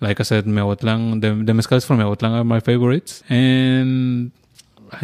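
With a Spanish accent, a man speaks fairly quickly at a medium pitch in a monotone, flat intonation. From Oaxaca, Mexico. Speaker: mezcal bar owner. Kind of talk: casual interview.

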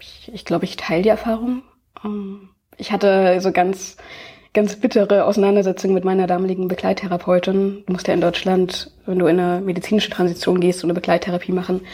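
A woman's medium-pitched voice, dark and mellow in tone, very fast, flat and monotone, with big swings in loudness. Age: 20s. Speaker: video activist and YouTuber. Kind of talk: conversational interview.

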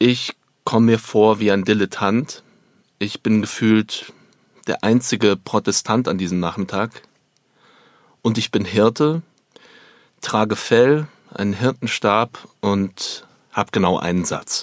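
A man's fairly low voice, very slow in pace with long, frequent pauses, ordinary pitch variation, and a dry, close sound lacking any echo. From Germany, Upper Bavaria. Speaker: stage actor. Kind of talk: theatrical monologue.

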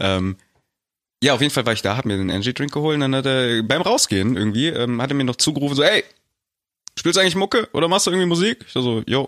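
A man with a medium pitch talking very fast with very wide pitch swings and long, frequent pauses, in a dry, close, very clean recording with no echo and a silent background. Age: 20s. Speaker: podcast co-host. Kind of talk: casual chat.

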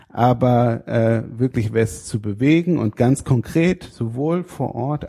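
A man's somewhat breathy voice in a dark, mellow tone, dry and close with no echo, on a very clean recording with a silent background. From northern Germany, Schleswig-Holstein (Fehmarn). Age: 30s. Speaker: state parliament politician. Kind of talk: interview. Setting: state parliament building. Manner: frequent hesitations (äh).

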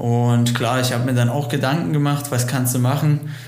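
Against noticeable background noise and audible room echo, a man speaks in a flat monotone at a medium pitch. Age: 20s. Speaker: motocross racer. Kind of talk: interview.

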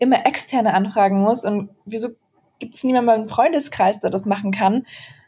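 Here is a woman with a plain, everyday voice. Her pitch is fairly high. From Germany. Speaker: author and tech speaker. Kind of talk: interview. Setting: remote call.

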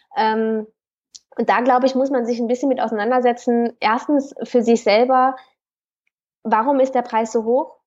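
At a moderate pace, a woman with a high pitch and fairly even intonation speaks with long, frequent pauses. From Cologne, Germany. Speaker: personal trainer. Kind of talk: interview. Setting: remote call.

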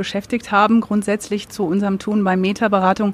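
The intonation is monotone and flat. Words come at a fairly quick pace. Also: woman. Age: 40s. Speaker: business consultancy managing director. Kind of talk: live podcast interview. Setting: live recording with audience.

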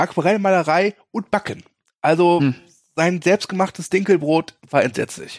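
A man speaks at a moderate pace in a high pitch with ordinary pitch variation, in a very clean recording with a silent background and a dry, close sound with no echo. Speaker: film podcast co-host. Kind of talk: casual chat.

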